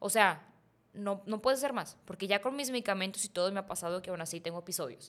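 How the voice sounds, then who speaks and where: A woman talks at a very fast pace in a medium-pitched voice with ordinary pitch variation. The recording is very clean, with a silent background. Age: 20s. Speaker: fitness influencer. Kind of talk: testimony.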